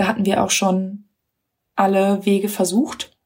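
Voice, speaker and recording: Fairly slow, somewhat breathy speech from a woman. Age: 30s. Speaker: mother of three, course graduate. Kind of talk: recorded voice memo testimony. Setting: self-recorded voice message.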